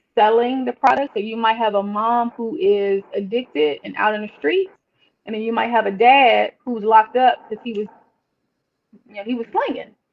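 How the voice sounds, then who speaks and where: A woman with an American accent and a plain, everyday voice talks at a moderate pace with fairly high pitch. Her pitch varies in an ordinary way, while her loudness swings a lot. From Washington DC, Northwest. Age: 40s. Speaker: licensed therapist. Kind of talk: casual chat.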